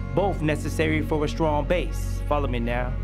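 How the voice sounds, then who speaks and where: At a moderate speed the speech continues, with music playing in the background. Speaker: spoken word poet; parent. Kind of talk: spoken word poetry performance.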